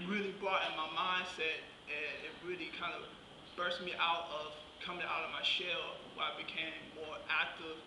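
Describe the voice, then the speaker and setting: Noticeable background noise accompanies a man with a Southern US accent. He speaks at a moderate pace in a high voice with fairly even intonation. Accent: Southern US (Georgia). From southwest Georgia, US South. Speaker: guest speaker, vocational rehabilitation client. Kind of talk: speech at a luncheon. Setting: luncheon with live audience. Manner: halting. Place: hall. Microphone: camera far.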